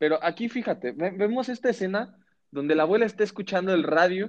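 A man speaks very fast with a Mexican accent in a high voice. The sound is dry and close, without echo. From Mexico. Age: 30s. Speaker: podcast host. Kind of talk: casual chat.

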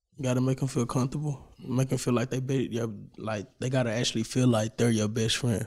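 A man with an American accent talks at a fairly quick pace in a normal speaking voice. His pitch is medium and his intonation fairly even. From Dallas, Texas (Oak Cliff). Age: 18. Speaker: rapper and dancer. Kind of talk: casual interview.

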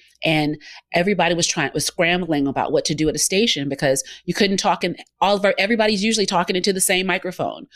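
Speaking at a very fast pace in a Southern US accent, the voice has ordinary pitch variation in a very clean recording with a silent background. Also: woman, medium pitch for a woman. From Georgia, US South. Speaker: business owner and broadcast consultant. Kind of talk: interview.

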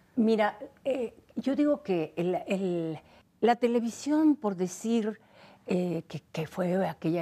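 This woman's voice has a dark, mellow tone. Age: 70s. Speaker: actress. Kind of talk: interview. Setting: at home.

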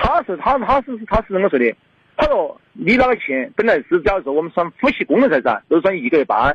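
Very wide pitch swings at a fairly quick pace. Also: man, high pitch for a man. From Fengdu, Chongqing. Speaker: caller. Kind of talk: phone-in personal problem. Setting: phone call. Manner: halting.

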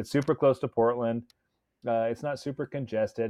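A man with a plain, everyday voice at a medium pitch speaks at a fairly quick pace. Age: 40s. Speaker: motorcycle rider and hobbyist. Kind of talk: casual chat.

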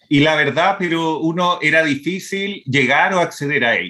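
Over a silent background in a very clean recording, a man speaks at a fairly high pitch. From Brazil (born in Santiago, Chile). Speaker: veterinarian and wildlife conservationist. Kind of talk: interview. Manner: hesitant, with fillers and repetitions.

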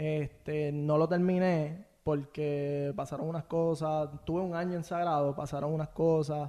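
Speaking with hardly any pauses in a Puerto Rican accent, a man has a dark, mellow tone and monotone, flat intonation over a quiet background. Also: fairly high pitch for a man, fairly slow pace. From Puerto Rico, Bayamón. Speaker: podcast guest, social media page creator. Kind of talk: casual interview chat. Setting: in-person studio.

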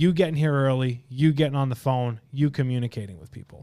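Using a normal speaking voice, a man speaks at a fairly high pitch with ordinary pitch variation. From Long Island, New York. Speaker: podcast host, insurance agency leader. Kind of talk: podcast interview.

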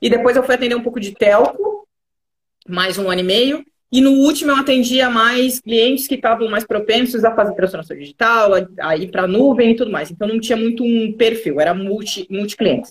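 A woman's fairly high, normal speaking voice at a fairly quick pace, with ordinary pitch variation. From Rio Grande do Sul, Brazil (Pelotas). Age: 30s. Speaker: digital transformation specialist. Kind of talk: live interview.

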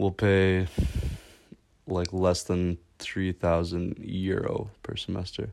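The man's voice is very deep and low, and he speaks at a very slow pace. The recording is very clean, with a silent background. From Canada. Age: 20s. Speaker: student. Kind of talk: casual chat.

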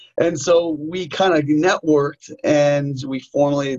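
A man speaks with a New York accent. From New York, US. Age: 40s. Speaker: martial arts instructor and author. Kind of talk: interview.

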